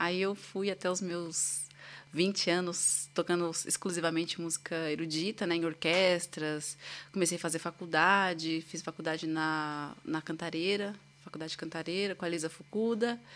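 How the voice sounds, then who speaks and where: A woman's normal speaking voice, fairly low in pitch, at a moderate pace with fairly even intonation, on a very clean recording with a silent background. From São Paulo, Brazil. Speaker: violinist. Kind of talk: casual interview.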